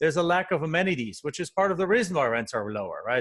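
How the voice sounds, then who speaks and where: A man talks with a German accent. The background is quiet. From Germany. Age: 40s. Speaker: real estate investor. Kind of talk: podcast interview. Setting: call.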